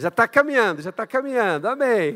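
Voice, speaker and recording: A man talks at a fairly slow pace. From Brazil. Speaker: guest pastor, missionary. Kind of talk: sermon. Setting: church. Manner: animated.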